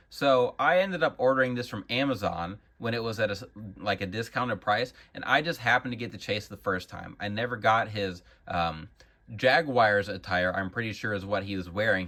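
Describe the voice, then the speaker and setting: With an American accent, this voice has a bright, sharp tone, ordinary pitch variation and a fairly quick pace. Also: man. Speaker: action figure collector and YouTuber. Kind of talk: casual product showcase. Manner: casual, with frequent fillers.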